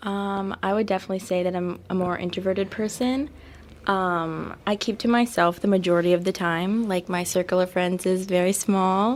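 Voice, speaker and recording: This soft-spoken voice moves at a moderate pace with fairly even intonation. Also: woman, medium pitch for a woman. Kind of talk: interview conversation. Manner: hesitant, many fillers.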